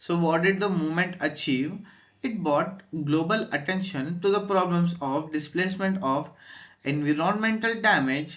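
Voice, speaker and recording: A man with an Indian accent speaks at a moderate pace and a high pitch, with ordinary pitch variation, very even loudness, and audible room echo. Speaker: educational youtuber. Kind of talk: lecture. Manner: hesitant.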